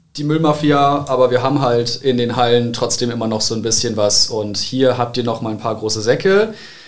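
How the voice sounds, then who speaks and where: A man talks at a moderate pace with ordinary pitch variation. Room echo can be heard around his voice. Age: 20s. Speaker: church youth volunteer. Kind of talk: casual chat.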